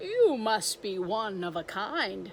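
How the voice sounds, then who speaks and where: The speaker puts on a character voice. Background noise is clearly heard. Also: female-sounding voice. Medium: read story.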